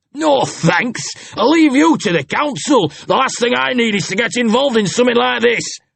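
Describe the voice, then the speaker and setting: A man puts on a character voice pitched extremely high. He keeps a moderate pace. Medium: read story. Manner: casual, blunt.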